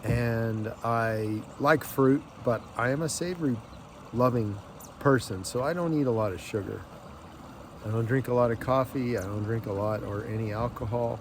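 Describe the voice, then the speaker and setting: Here a man uses an ordinary speaking voice at a medium pitch and a moderate pace, with ordinary pitch variation. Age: 60s. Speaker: lifestyle vlogger. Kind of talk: casual vlog monologue. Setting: outdoors on a lake.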